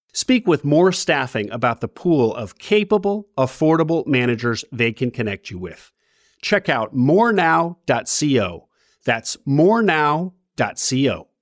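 In a very clean recording with a silent background, a man talks fairly slowly, his fairly high voice swinging very widely in pitch. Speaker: podcast host. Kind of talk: interview.

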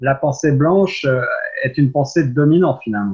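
A somewhat breathy man's voice with ordinary pitch variation. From France. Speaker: radio host. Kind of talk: radio interview. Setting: radio studio.

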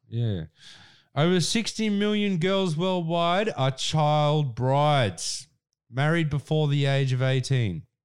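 At a very slow pace and very even loudness, a man speaks at a fairly high pitch in an Australian accent. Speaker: podcast co-host. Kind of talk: casual chat; reading aloud.

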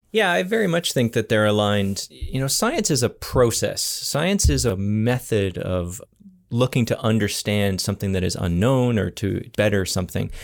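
With an unremarkable speaking voice, a man talks at a moderate pace with a Canadian accent, lively intonation and a fairly low pitch. The recording is very clean, with a silent background. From Ontario, Canada. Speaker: scientist and startup founder. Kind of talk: interview.

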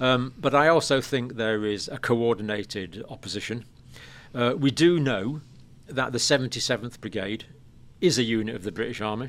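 In an English accent, a man talks at a moderate pace and medium pitch with ordinary pitch variation, on a very clean recording with a silent background. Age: 60s. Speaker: nurse and health educator. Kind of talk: interview. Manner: halting.

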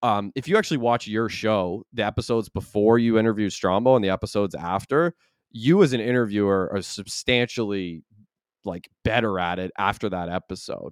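A man with an ordinary speaking voice and ordinary pitch variation talks at a fairly quick pace in a very clean recording with a silent background and a dry, close sound with no echo. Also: fairly low pitch for a man. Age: 30s. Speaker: podcast host. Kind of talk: casual chat.

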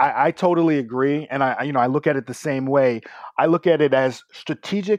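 A man's ordinary speaking voice, fairly high in pitch with ordinary pitch variation, at a fairly quick pace against a quiet background. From New York City, Brooklyn. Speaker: tech business co-founder. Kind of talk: casual interview. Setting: remote call.

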